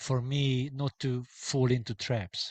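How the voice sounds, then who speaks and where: Against a quiet background, a man with a Hungarian accent speaks in a somewhat breathy voice. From Hungary. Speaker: sociologist and book author. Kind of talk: academic Q&A. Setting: hybrid book launch event. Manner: hesitant, many filler sounds.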